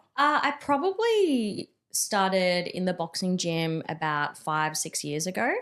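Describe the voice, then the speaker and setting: On a very clean recording with a silent background, a woman with a medium pitch talks at a fairly slow pace with hardly any pauses and very wide pitch swings. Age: 30s. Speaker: powerlifter and mindset coach. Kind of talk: casual interview chat.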